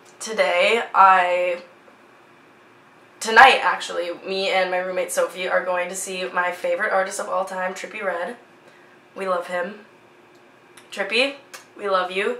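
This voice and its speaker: Over noticeable background noise and audible room echo, a woman with an American accent speaks at a fairly slow pace with long, frequent pauses. Her pitch is medium and her intonation fairly even. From US Midwest, Minnesota (Twin Cities area). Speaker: vlogger, fashion student. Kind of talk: casual vlog chat.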